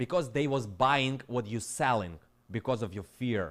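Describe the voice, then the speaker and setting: With a Ukrainian accent, the speaker has an animated tone on a very clean recording with a silent background. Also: man. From Ukraine. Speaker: crypto trader and streamer. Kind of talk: live stream rant. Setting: live stream.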